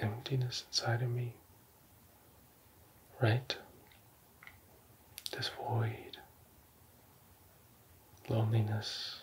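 A man at a very slow pace, with monotone, flat intonation, long, frequent pauses, and noticeable background noise. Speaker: ASMR creator. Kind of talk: ASMR roleplay. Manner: whispered, soft-spoken. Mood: earnest, calm, religious. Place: home room. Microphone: studio mic.

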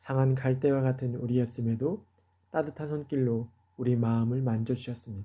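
This man's voice has a dark, mellow tone and a medium pitch, moving at a moderate pace. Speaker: pastor. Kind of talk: radio devotional sermon.

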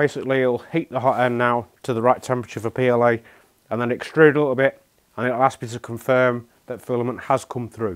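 The speaker is a man. He goes at a fairly quick pace against a quiet background. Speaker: product demonstrator. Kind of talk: tutorial. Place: shop. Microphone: lapel.

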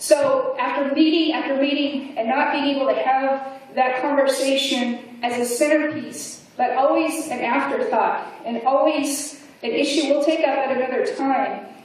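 In strong room echo, a woman speaks at a high pitch with ordinary pitch variation. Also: moderate pace. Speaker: keynote speaker. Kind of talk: keynote speech. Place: hall.

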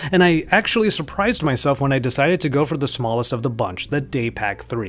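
The man talks very fast while faint music sounds behind him. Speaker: tech reviewer. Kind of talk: product review commentary. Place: home room. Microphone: studio mic.

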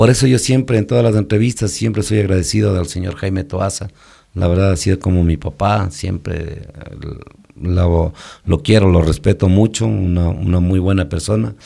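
Over a quiet background, a man with a very deep, low pitch and a dark, mellow tone speaks at a moderate pace with ordinary pitch variation. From Ecuador, Quito; Ecuador. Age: 50s. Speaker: musician and band leader; podcast guest. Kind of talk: interview, life story. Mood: reflective, grateful. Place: studio. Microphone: studio mic.

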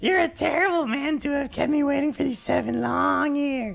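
Here is a put-on character voice, raspy and high-pitched. It moves at a moderate pace.

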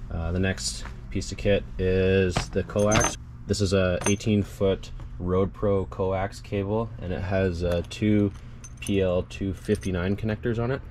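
Someone speaks very slowly over noticeable background noise. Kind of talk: tutorial. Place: garden.

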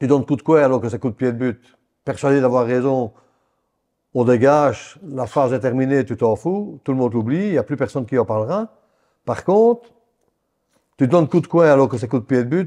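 Against a quiet background, a man with a dark, mellow tone and medium pitch talks fairly quickly, with ordinary pitch variation and long, frequent pauses. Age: 60s. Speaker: retired football referee; interview guest. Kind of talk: casual interview. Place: home room.

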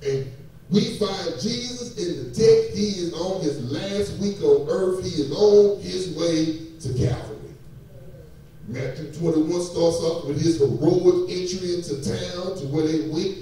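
A high-pitched man at a fairly slow pace, with ordinary pitch variation and strong room echo. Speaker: preacher. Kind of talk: sermon. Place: church.

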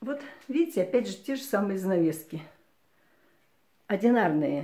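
In a quiet background, a woman with a somewhat breathy, medium-pitched voice and a dark, mellow tone speaks at a moderate pace with very wide pitch swings. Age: 60s. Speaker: retiree video blogger. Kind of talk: casual home tour talk to camera. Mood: warm, friendly. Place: home room. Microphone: phone near.

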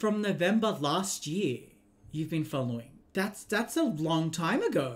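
A man speaks at a fairly slow pace. He has an Australian accent. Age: 20s. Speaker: video game streamer. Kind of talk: casual live-stream chat while gaming. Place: home room.

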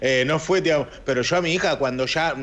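The speaker talks at a moderate pace with ordinary pitch variation. The accent is Rioplatense. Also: man. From Argentina. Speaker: radio host. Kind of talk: casual chat. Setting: studio. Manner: animated. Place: home room. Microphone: video call.

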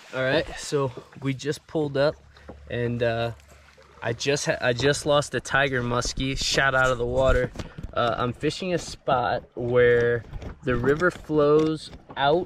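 Over light background noise, a man speaks at a fairly slow pace with fairly even intonation. The sound is dry, with no echo. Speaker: angler vlogger. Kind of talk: casual vlog chat. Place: waterside. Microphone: phone near.

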